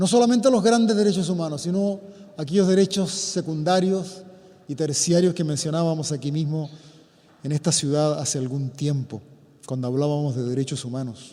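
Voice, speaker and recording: With noticeable background noise, a man speaks at a moderate pace, his fairly high voice carrying lively intonation. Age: 70s. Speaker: priest. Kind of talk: public talk. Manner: formal.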